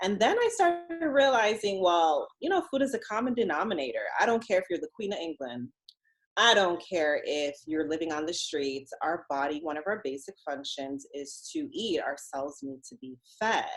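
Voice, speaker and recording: A woman's medium-pitched, animated voice at a moderate pace, with very wide pitch swings and big swings in loudness. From Jamaica, moved to US very young. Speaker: dietitian and diabetes educator. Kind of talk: podcast interview. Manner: conversational, animated.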